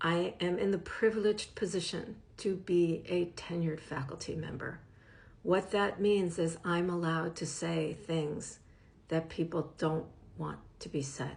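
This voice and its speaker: At a fairly slow pace, a woman with a fairly low pitch sounds somewhat breathy and keeps a fairly even intonation. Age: 60s. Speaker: professor and media literacy educator. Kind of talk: direct-to-camera advocacy talk.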